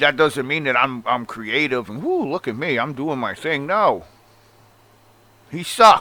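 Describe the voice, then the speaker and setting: An animated man speaks in a bright, sharp tone with a strong Long Island accent. Long, frequent pauses break up his speech. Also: fairly high pitch for a man, ordinary pitch variation, fairly slow pace. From Long Island, New York. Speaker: wrestling commentary vlogger. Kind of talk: opinion rant.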